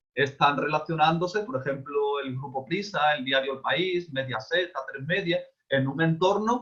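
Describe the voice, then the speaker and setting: Fairly slow in pace, a man speaks at a fairly high pitch with ordinary pitch variation. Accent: Andalusian. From Spain, Seville (Andalusia). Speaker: speaker on communication and advocacy. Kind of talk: online talk / lecture. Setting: video call.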